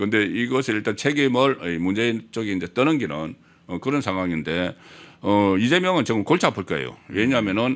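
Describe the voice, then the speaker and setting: Fairly low male voice at a fairly quick pace, with very wide pitch swings. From South Korea. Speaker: political commentator. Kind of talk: political talk show interview. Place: studio. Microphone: studio mic.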